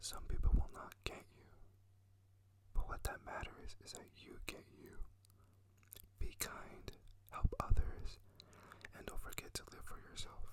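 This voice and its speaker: A man whispers at a fairly slow pace, breaking his speech with long, frequent pauses. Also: big swings in loudness. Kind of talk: casual talk to camera. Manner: whispered, soft.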